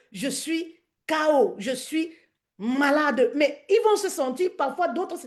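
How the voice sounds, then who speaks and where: Over a quiet background, a woman speaks in an animated tone with very wide pitch swings. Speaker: business coach and live streamer. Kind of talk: live stream talk. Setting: live stream on social media.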